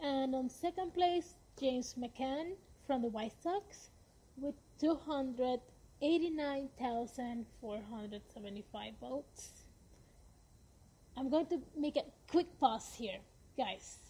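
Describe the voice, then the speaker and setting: Using very slow pacing and long, frequent pauses, a woman speaks at high pitch with a dark, mellow tone and lively intonation. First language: Spanish. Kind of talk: podcast monologue. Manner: slow reading numbers.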